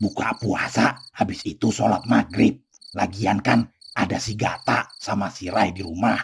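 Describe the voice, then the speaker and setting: A man puts on a cartoonish character voice at a moderate pace. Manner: blunt Betawi slang, chuckling.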